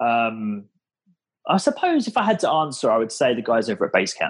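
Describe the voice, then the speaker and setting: A man speaks with an English accent at a medium pitch. His pitch swings very widely. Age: 30s. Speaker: startup founder. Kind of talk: casual interview. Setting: podcast recording.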